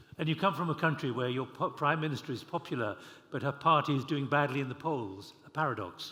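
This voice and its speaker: Speaking at a very fast pace, a man with a fairly high pitch has a bright, sharp tone and ordinary pitch variation. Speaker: panel moderator. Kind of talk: moderating panel Q&A. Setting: conference hall with audience. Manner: informal.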